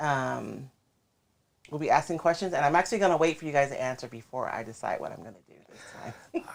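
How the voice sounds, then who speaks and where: A woman's very deep, low pitch with ordinary pitch variation and a fairly quick pace. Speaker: craft livestream host. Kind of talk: casual livestream chat. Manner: mumbles, not projecting.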